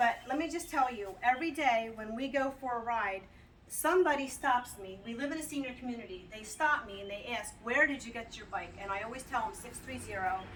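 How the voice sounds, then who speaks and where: Amid audible room echo, a woman speaks at a high pitch with lively intonation and big swings in loudness. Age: 60s. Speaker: customer giving a product review. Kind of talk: casual video testimonial. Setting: outdoors. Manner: chatty, with fillers and repeats.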